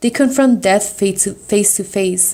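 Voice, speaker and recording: A woman's dark, mellow tone moves at a moderate pace with fairly even intonation. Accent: Salvadoran. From US, Salvadoran family. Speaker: student. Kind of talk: reading aloud.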